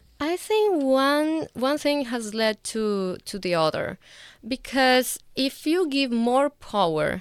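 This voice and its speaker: A woman speaks in a Venezuelan accent with very wide pitch swings. The recording is very clean, with a silent background. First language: Spanish. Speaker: guest, lawyer and grad student.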